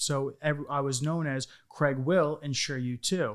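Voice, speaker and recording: A man's fairly high voice in a New York accent, at a fairly slow pace with fairly even intonation, in a very clean recording with a silent background. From Long Island, New York. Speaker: insurance business owner. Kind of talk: interview.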